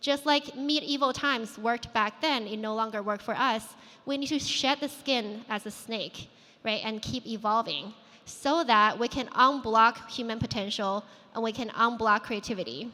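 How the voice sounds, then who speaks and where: Speaking at a moderate pace with a Chinese accent, a woman uses a fairly high pitch and ordinary pitch variation. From China, moved to US at 14. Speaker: founder and conference speaker. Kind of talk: conference keynote talk. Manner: conversational with filler words.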